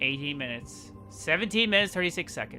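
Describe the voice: The speaker has an Irish accent and very wide pitch swings. Music plays in the background. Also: man. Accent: soft, mild Irish.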